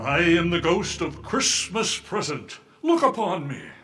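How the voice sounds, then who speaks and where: A man's high-pitched, put-on character voice at a fairly slow pace. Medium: audio drama. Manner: hearty, cheery.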